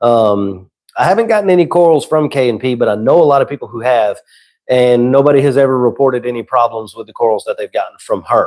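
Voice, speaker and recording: This man talks at a very fast pace. His loudness swings widely. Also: medium pitch for a man, ordinary pitch variation. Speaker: saltwater aquarium content creator. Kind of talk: live stream chat. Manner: casual.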